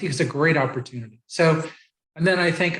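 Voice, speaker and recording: A man speaks in a somewhat breathy voice. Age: 70s. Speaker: author and program founder. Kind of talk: interview. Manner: halting, many fillers.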